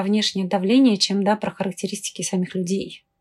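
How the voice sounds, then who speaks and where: The voice is a plain, everyday voice. It moves at a fairly quick pace. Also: woman. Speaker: expert commenting on society and psychology. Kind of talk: expert commentary, interview.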